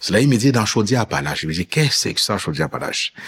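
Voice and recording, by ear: Speaking at a fast pace, a man with a fairly low, fairly bright voice and a husky, rough edge moves through big pitch swings.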